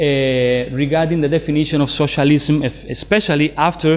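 With a Spanish accent, a man speaks in a fairly high pitch and fairly even intonation. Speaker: philosophy lecturer. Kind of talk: lecture. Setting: lecture room with small audience. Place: meeting room.

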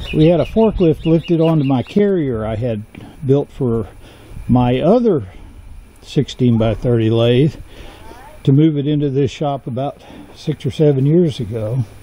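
The sound is dry with no echo. A man speaks at a fairly slow pace with long, frequent pauses. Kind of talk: casual vlog chat. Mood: relaxed, wry. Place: street. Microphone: phone near.

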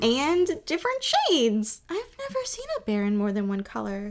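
A woman's high-pitched cartoonish character voice at a moderate pace. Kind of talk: comedic character dialogue.

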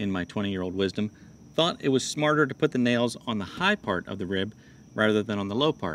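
With a fairly low pitch and a fairly quick pace, a man talks over light background noise in dry sound with no echo. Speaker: DIY channel host. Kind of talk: casual vlog tutorial. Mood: relaxed, chatty. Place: garden. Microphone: phone near.

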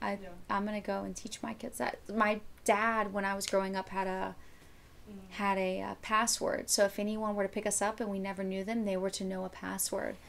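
A woman with an American accent speaks fairly quickly in a flat monotone at medium pitch. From Florida, Miami; Florida. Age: 30s. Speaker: bikini competitor and hunter; podcast guest. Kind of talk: casual chat. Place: home room.

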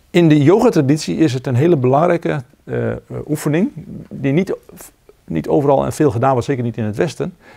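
Against a quiet background, a man speaks at a fairly high pitch in a dark, mellow tone with vocal fry. His intonation is lively, broken by long, frequent pauses. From Netherlands. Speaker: zen teacher. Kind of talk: dharma talk. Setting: meditation retreat with audience. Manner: halting. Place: hall.

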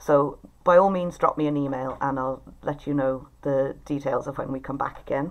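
A woman at a moderate pace, her pitch extremely low and her intonation fairly even

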